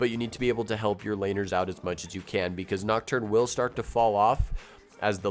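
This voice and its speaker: With music in the background, a man talks at a fairly quick pace in a fairly low voice. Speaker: gaming video creator. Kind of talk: game guide talk to camera.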